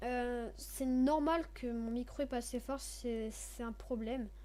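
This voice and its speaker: A woman is speaking. Her pace is very slow. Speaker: gaming youtuber. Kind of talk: gameplay commentary. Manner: halting. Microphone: too quiet.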